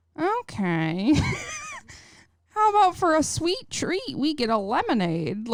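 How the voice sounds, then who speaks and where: Using a put-on character voice, a woman talks at a high pitch. She goes fairly slowly, with long, frequent pauses. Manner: mild, cheery suggestion.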